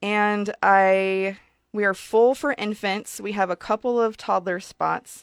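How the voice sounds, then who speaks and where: Very slowly and with fairly even intonation, a woman with an American accent speaks at a medium pitch, the sound dry and close with no echo. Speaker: childcare center owner. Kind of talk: radio interview. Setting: radio studio.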